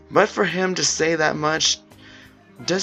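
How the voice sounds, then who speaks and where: A man speaks with music in the background. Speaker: visual novel reader. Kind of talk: read story with character voices. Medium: read story.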